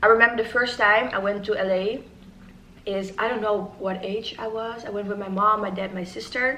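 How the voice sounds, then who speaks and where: In a Dutch accent, a woman speaks at medium pitch and a fairly quick pace with fairly even intonation, amid audible room echo and noticeable background noise. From Netherlands. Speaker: YouTuber. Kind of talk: casual chat. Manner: halting.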